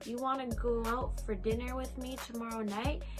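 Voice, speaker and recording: Music plays in the background. A woman speaks with a Canadian accent. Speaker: English teacher. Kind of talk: educational talk to camera.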